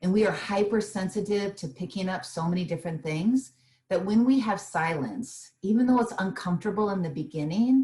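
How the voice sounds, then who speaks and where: At a fairly quick pace, a woman talks in a somewhat breathy, dark and mellow voice at a medium pitch, with lively intonation. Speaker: small business owner and meditation teacher. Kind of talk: interview. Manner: soothing.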